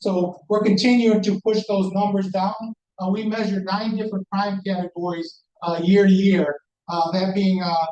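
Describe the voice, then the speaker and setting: A man speaks loudly in a high, flat monotone. His pace is moderate. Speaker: police commander. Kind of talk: community meeting report.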